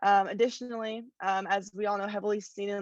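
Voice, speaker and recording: Flat and monotone, a woman talks very fast at a medium pitch. Behind her the background stays quiet. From Northern California, Bay Area. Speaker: student activist volunteer. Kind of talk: public comment statement.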